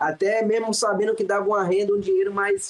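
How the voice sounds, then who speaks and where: Over noticeable background noise, a man talks at a fairly quick pace in a high voice with ordinary pitch variation. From Salvador, Bahia, Brazil. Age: 20s. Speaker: professional acrobat. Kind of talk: casual interview chat.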